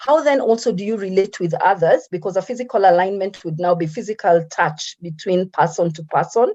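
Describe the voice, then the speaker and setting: Moving at a fairly quick pace, a woman speaks with lively intonation in a dark, mellow tone. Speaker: motivational speaker. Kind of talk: lecture. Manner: fast.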